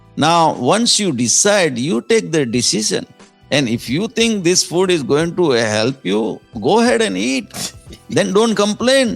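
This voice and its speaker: With music in the background, a man speaks at a very slow pace. His fairly high pitch moves in very wide swings. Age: 60s. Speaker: entrepreneur and author. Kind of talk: podcast interview answer.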